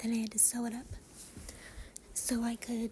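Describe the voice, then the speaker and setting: A woman's fairly high, somewhat breathy voice with a dark, mellow tone, monotone, flat intonation and a fairly slow pace. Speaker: cosplayer and sewing vlogger. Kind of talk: voiceover narration of sewing video. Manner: hesitant, many fillers.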